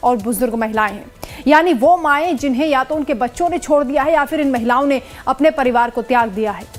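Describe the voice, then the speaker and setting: A woman speaks at a high pitch with ordinary pitch variation. Her pace is moderate, with music in the background. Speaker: news presenter. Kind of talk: TV news intro read.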